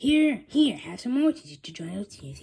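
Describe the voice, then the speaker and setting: High-pitched put-on character voice from a woman, swinging very widely in pitch. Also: moderate pace. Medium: read story. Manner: jolly, salesmanlike.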